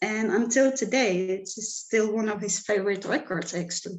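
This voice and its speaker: A woman speaks with a Czech accent. Her pace is fairly slow. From Czech Republic. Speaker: music manager and event producer. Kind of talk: panel discussion.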